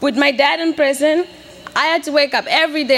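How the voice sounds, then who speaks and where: Over noticeable background noise, a woman uses a raised, projected voice at a moderate pace. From Mozambique, Beira. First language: Portuguese. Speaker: graduating student. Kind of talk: commencement speech. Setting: stage with audience.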